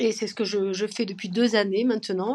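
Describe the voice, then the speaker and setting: Over a quiet background, a woman talks at a moderate pace and medium pitch with monotone, flat intonation. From southern France, Perpignan (Catalan). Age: 50s. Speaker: French teacher and grandmother. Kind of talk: podcast interview. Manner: hesitant, many fillers.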